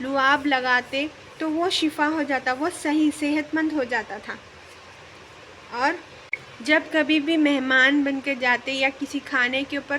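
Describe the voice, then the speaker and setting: Over noticeable background noise, a woman speaks in a raised, projected voice at a high pitch with monotone, flat intonation. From Hyderabad, India. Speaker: vlogger, mother. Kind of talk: religious talk to camera.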